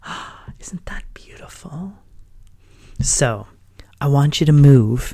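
A man with a fairly high pitch and a dark, mellow tone speaks very slowly, somewhat breathy, with ordinary pitch variation. Long, frequent pauses and big swings in loudness mark his delivery. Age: 50s. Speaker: mindfulness podcast host. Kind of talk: casual monologue. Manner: gentle.

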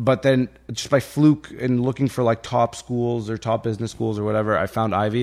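An unremarkable speaking voice at a moderate pace, with fairly even intonation, in a very clean recording with a silent background. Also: man. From Egypt, raised in Canada (Ontario). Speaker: cannabis and real estate entrepreneur. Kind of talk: casual conversational interview. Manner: casual, filler-heavy, informal.

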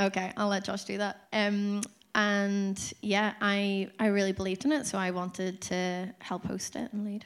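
A woman speaks with a Northern Irish accent at medium pitch. Her intonation is fairly even and her pace moderate. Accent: Northern Irish (Tyrone). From Dungannon, Northern Ireland. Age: 30s. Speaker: church course leader. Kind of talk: testimony.

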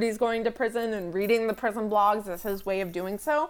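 A woman's normal speaking voice at a medium pitch, with an American accent and ordinary pitch variation, on a very clean recording with a silent background. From United States. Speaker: podcast co-host. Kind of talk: casual podcast discussion of a TV show.

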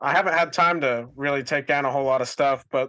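Bright and sharp in tone, a man's fairly high voice moves at a fairly quick pace. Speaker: guest, filmmaker nephew, home haunt builder. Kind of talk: casual chat.

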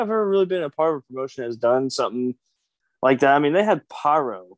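With a Kentucky accent, a man speaks in a dry, close sound with no echo over a quiet background. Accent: Kentucky Southern US. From Kentucky, US South. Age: 20s. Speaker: professional wrestler. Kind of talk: casual interview.

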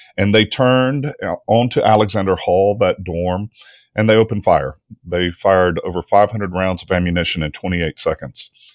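With ordinary pitch variation, a man speaks fairly quickly at a fairly low pitch in a dry, close sound with no echo. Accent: Mississippi. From Mississippi. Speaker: history professor. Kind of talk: interview.

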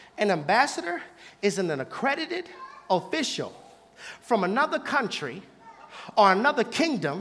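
The delivery is animated in tone at a moderate pace. Noticeable background noise runs underneath. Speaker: preacher. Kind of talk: sermon. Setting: church with live congregation. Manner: animated, call-and-response.

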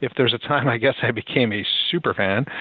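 A man's unremarkable speaking voice with an American accent and ordinary pitch variation. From Philadelphia, US. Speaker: music blogger. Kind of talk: interview. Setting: phone call.

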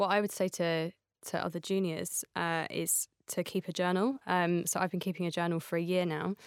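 Recorded with a dry, close sound, no echo and a very clean, silent background, a woman talks in a monotone, flat intonation at a fairly low pitch. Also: moderate pace. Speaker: advertising creative. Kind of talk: casual interview.

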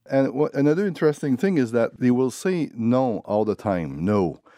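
A man with a dark, mellow tone and a strong Quebec accent, very wide pitch swings, a moderate pace and a quiet background. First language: French. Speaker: author. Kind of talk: interview. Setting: radio studio.

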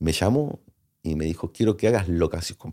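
On a very clean recording with a silent background, a man speaks with lively intonation in a very deep, dark and mellow voice. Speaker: film location manager. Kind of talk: interview.

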